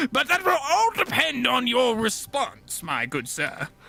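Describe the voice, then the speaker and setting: A man talks at an extremely high pitch with very wide pitch swings against noticeable background noise. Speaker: game vehicle designer. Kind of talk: casual chat.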